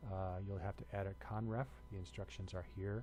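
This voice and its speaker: A man's very deep, low voice with audible room echo. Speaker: university instructor. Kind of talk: lecture. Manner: hesitant with many fillers.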